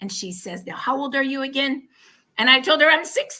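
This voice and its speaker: A woman's high-pitched, raised, projected voice with a bright, sharp tone, animated, in an American accent. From Oregon. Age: 60s. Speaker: product testimonial guest. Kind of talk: testimony.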